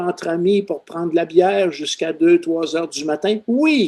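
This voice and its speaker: A man with a Quebec accent speaks in a dark, mellow tone, his pitch swinging very widely. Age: 70s. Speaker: retired seismologist. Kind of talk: podcast interview.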